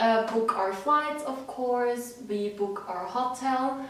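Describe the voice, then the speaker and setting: A woman speaks with a Swiss accent. Her pace is very slow. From Switzerland. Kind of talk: casual talk to camera.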